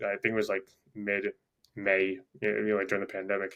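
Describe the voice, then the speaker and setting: A man is speaking. He has a New York accent. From Long Island, New York. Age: 20s. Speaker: gym owner and fitness coach. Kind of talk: casual interview chat. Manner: halting, many fillers.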